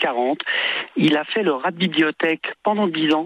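Speaking fairly slowly, a man lets his pitch vary in an ordinary way. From born in Tunisia. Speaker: singer. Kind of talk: radio interview. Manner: halting, repeats words. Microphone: bad connection, dropouts.

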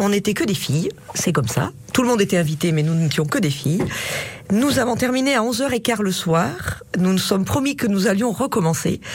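A woman speaks at a moderate pace with medium pitch, her voice swinging very widely in pitch while her loudness stays very even. Noticeable background noise runs underneath. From Auvergne, Thiers area. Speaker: bookseller. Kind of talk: radio interview.

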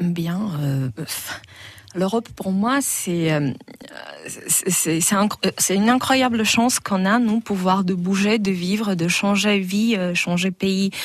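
A woman with a Slovak accent speaks at a medium pitch and a very slow pace, with ordinary pitch variation, long, frequent pauses and noticeable background noise. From northern Slovakia. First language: Slovak (speaking French). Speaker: clothing designer. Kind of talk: radio interview.

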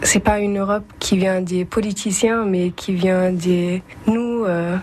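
Very slow, monotone speech with flat intonation and a German accent, over noticeable background noise. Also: woman. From Germany, Bremen. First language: German (speaking French). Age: young. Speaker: European civic service volunteer. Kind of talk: interview. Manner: halting.

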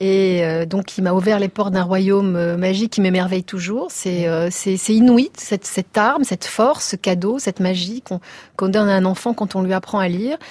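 A woman with an unremarkable speaking voice talks at medium pitch and a moderate pace with ordinary pitch variation, on a very clean recording with a silent background. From Tunisia. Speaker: writer and journalist. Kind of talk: radio interview.

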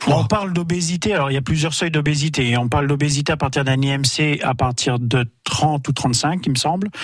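The speaker keeps a moderate pace with very even loudness and hardly any pauses. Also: man, fairly high pitch for a man, ordinary pitch variation. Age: 40s. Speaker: guest sharing life with obesity. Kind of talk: testimony. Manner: halting.

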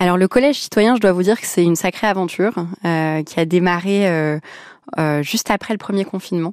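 A woman's medium-pitched, unremarkable speaking voice at a moderate pace with ordinary pitch variation and hardly any pauses, in a very clean recording with a silent background. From France, Lebanese family. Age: 20s. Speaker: charity founder. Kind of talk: radio interview.

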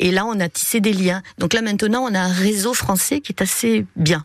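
A woman keeps a moderate speed while background noise is clearly heard. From Montpellier, southern France. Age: 50s. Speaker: primary school teacher, ukulele player. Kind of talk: radio interview.

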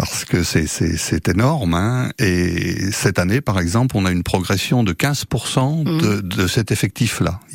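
Over noticeable background noise, a man with a fairly low pitch talks at a very slow pace, his loudness very even and his intonation lively. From Brittany (Jugon, Côtes-d'Armor). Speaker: fishing association representative. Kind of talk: radio interview. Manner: hesitant, frequent filler sounds.

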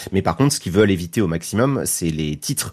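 The man speaks with a very deep, low pitch. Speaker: YouTube content creator. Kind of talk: casual radio interview.

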